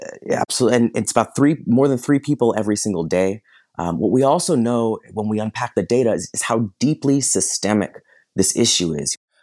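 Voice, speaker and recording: A man talks at a fairly quick pace with a medium pitch and lively intonation. The sound is dry and close with no echo, over a quiet background. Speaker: policy analyst. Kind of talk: panel discussion. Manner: halting, frequent fillers.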